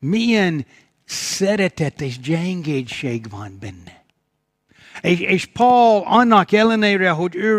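A man with a high pitch speaks at a very slow pace with lively intonation. The recording is very clean with a silent background. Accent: English. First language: English (speaking Hungarian). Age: old. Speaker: pastor. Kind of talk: sermon. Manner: halting.

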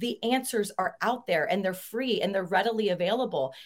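Here is a woman with an unremarkable speaking voice and a fairly high pitch. Her intonation is lively. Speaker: real estate agent.

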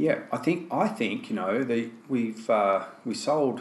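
Noticeable background noise sits behind a man speaking with an Australian accent. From Australia (Tasmania, Melbourne). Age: 50s. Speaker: fly fishing guide and casting instructor. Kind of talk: casual interview conversation. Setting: face to face sit-down.

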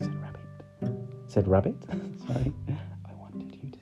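Text read aloud plainly

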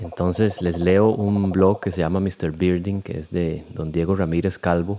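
A man talks with a very deep, low pitch and a dark, mellow tone, his intonation monotone and flat. He goes at a fairly slow pace with hardly any pauses. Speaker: podcast host. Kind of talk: casual podcast narration.

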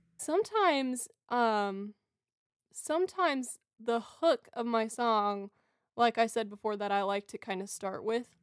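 Speaking at a fairly slow pace, a woman with a fairly high pitch uses ordinary pitch variation in a very clean recording with a silent background and a dry, close sound with no echo. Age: 20s. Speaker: singer-songwriter and student. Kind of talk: casual chat.

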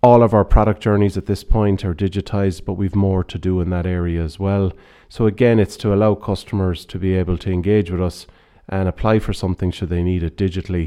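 Speaking at a very fast pace, a man with an Irish accent uses a very deep, low pitch and fairly even intonation. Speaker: retail banking director. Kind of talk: interview. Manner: halting.

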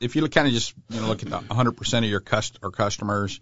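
Delivered at a moderate pace, a plain, everyday voice shows ordinary pitch variation. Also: man. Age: 60s. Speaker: outdoor store owner. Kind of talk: casual chat.

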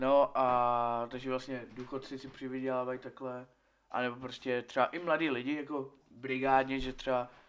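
Monotone, flat intonation from a man at medium pitch and a moderate pace. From Czechia, Česká Lípa. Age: 20s. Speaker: podcast guest. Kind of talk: casual chat. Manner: halting.

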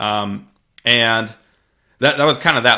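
A man with an American accent has a normal speaking voice. He talks at a fairly quick pace with fairly even intonation. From US Midwest (Missouri). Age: 20s. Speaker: real estate investor and software founder. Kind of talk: interview. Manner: frequent fillers and restarts.

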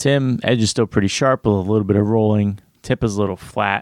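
A man speaks in a plain, everyday voice, fairly low in pitch. The sound is dry and close, with no echo. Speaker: podcast co-host. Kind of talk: casual chat.

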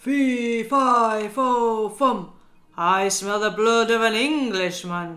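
Over music in the background, a put-on character voice bellows at a very slow pace with a fairly high pitch. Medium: read story. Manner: roaring, menacing.

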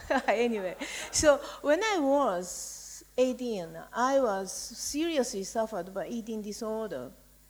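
The speaker has a Japanese accent and lively intonation at a fairly slow pace. Noticeable background noise is present. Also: woman, fairly high pitch for a woman. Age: 60s. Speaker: writer. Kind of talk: panel discussion.

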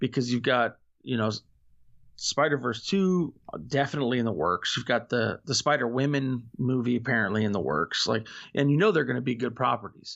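A normal speaking voice from a man with an American accent, medium pitch, ordinary pitch variation and a fairly quick pace. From Florida, US. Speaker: podcaster. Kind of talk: casual chat.

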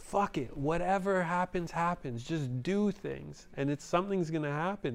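The speaker talks at a moderate pace in a Montreal accent, with lively intonation. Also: man. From Montreal, Canada (NDG neighbourhood). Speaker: DJ and graffiti artist. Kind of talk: casual chat.

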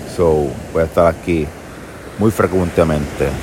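Against noticeable background noise, a man with a Puerto Rican accent speaks at a fairly slow pace. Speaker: podcaster. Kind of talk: casual monologue. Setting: outdoors on a beach.

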